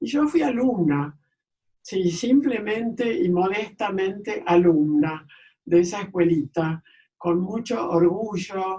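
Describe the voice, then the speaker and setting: Lively in intonation, a woman speaks at a very slow pace with a somewhat breathy, medium-pitched voice and a dark, mellow tone. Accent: Rioplatense. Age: 80s+. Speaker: architect and archivist. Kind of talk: interview answer.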